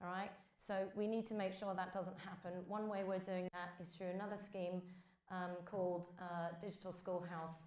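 A woman with a British accent speaks at a moderate pace. Her pitch is medium and her intonation monotone and flat. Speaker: games industry trade body leader. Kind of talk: conference keynote. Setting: stage with audience. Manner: hesitant, many fillers.

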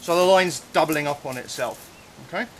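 A man's pitch varies in an ordinary way, with light background noise behind him. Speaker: cave diving instructor. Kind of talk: tutorial. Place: forest.

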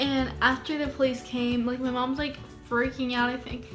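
Clear music plays in the background as a woman with a high voice speaks at a moderate pace. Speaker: YouTuber. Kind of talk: casual storytime talk to camera. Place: home room. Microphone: phone near.

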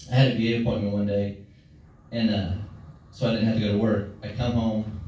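A man talks at a very fast pace with a fairly low pitch. Strong room echo and light background noise fill the recording. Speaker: stand-up comedian. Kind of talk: stand-up comedy set. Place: stage.

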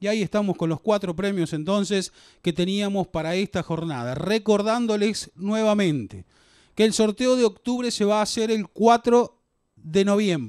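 High-pitched male speech at a moderate pace with ordinary pitch variation, dry with no echo against a quiet background. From Argentina. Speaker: raffle host. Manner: playful and chatty, joking with staff. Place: hall. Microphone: handheld.

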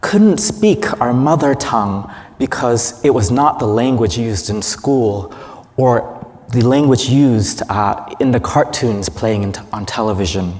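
This man talks at a fairly slow pace with few pauses, his medium-pitched voice slightly mellow and his intonation lively.

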